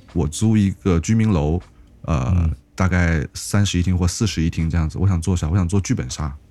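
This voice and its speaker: A man with a very deep, low voice and a dark, mellow tone speaks at a moderate pace. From Shantou, Guangdong. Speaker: podcast host. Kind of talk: casual chat.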